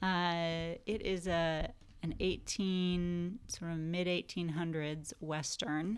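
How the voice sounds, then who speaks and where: A woman speaks in a Californian accent at a fairly low pitch. Her pace is very slow. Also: fairly even intonation. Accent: American (Californian). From California, Santa Barbara. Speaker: film production designer. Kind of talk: casual interview chat.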